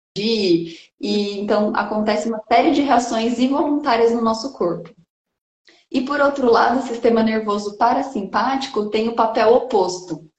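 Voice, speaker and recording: Room echo is audible around a woman's voice. She speaks at a fairly slow pace. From interior of São Paulo state, Brazil (Bauru area, rural). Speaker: environmental educator and researcher. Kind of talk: casual interview chat. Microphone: connection stuttering at times.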